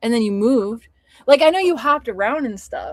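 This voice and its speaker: In a very clean recording with a silent background, a woman with an American accent talks at a fairly quick pace, her tone animated and her intonation lively. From California, San Francisco Bay Area. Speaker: writer and livestream host. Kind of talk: casual chat. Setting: livestream.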